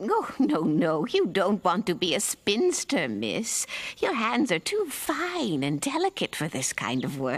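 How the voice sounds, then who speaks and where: Putting on a cartoonish character voice, a woman talks at a fairly slow pace and a medium pitch. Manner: honeyed, knowing.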